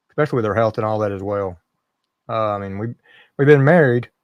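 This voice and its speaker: The quiet background holds a man's voice at medium pitch. His pitch varies in an ordinary way. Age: 50s. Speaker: live streamer. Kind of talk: casual chat.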